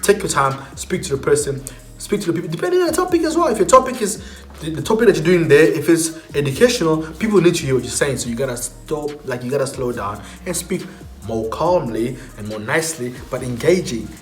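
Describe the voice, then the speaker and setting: At a very fast pace, a man speaks in a fairly high pitch with very wide pitch swings and big swings in loudness. Music plays in the background, and the room has an audible echo. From South Africa. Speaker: YouTuber. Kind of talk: tutorial.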